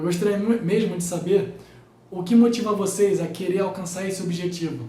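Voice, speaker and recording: Noticeable background noise and audible room echo surround a man talking at a fairly quick pace in a high voice. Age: 20s. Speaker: physics teacher, YouTuber. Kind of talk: casual vlog talk to viewers.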